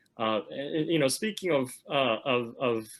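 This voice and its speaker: A man speaks at a moderate pace in a Korean accent. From South Korea. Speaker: webinar moderator, lawyer. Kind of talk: panel discussion. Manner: halting, many fillers and repetitions.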